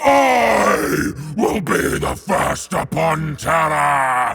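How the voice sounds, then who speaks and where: A raspy, bellowing put-on character voice from a man at a very slow pace. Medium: audio drama. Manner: roaring, furious.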